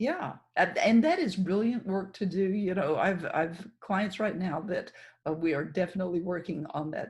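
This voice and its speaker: A woman speaks at a moderate pace in a dark, mellow tone that is somewhat breathy. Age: 60s. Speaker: podcast host. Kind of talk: podcast interview.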